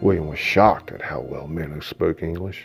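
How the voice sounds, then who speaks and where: A man speaks with music playing in the background. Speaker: author reading his own novel. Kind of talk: audiobook narration.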